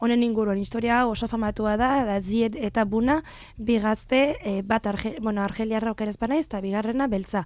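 Her pitch sits fairly high, with ordinary variation. The woman's recording is very clean, the background silent. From France, Marseille. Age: 20s. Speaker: translator. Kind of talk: interview. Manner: halting.

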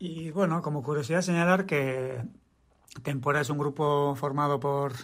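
A man speaks at a fairly slow pace with a fairly high pitch. It is an ordinary speaking voice. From Basque Country, Tolosa. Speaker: musician. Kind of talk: recorded statement about a song.

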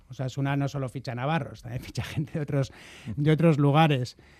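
A man's medium-pitched voice, dark and mellow in tone, with fairly even intonation and a fairly quick pace. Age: 40s. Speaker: football club presidential candidate. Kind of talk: radio interview. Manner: halting.

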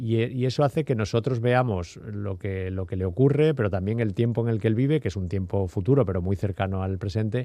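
Speaking at a fairly quick pace with hardly any pauses, a man uses a fairly low voice with ordinary pitch variation. His tone is dark and mellow. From Seville, Andalusia. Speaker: novelist. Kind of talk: interview. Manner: halting, repeats words.

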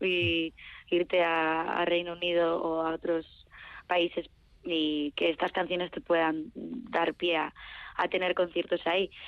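Speaking very slowly, a woman uses a fairly low pitch. Her intonation stays fairly even. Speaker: singer-songwriter. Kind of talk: interview.

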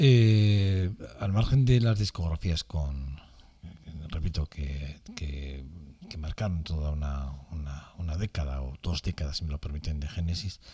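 A dark, mellow, somewhat breathy voice at a fairly slow pace, with lively intonation. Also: man, very deep, low pitch for a man. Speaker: radio music host. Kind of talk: radio music commentary. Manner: halting, many repetitions and fillers.

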